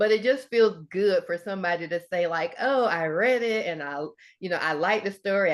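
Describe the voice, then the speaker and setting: A woman's medium-pitched voice in a Southern US accent, at a moderate pace with ordinary pitch variation, over a quiet background. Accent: Southern US (Georgia). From US South, Georgia. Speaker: author and Air Force veteran. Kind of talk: interview.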